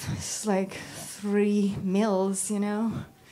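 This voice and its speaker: With audible room echo, a woman speaks very slowly in a Russian accent at a medium pitch. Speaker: model and first-time stand-up comedian. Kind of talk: stand-up. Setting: stage with audience. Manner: halting.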